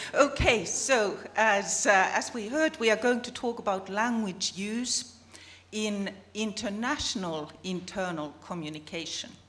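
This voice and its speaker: A woman with a Finnish accent and fairly high pitch, at a fairly slow pace, with big swings in loudness, audible room echo and noticeable background noise. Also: lively intonation. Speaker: business communication researcher. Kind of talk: conference presentation.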